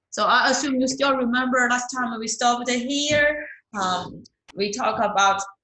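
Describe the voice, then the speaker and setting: A woman with a non-native accent talks at a fairly slow pace, with audible room echo around her. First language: not English. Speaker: accounting instructor. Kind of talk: lecture. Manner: repetitive, hesitant with fillers.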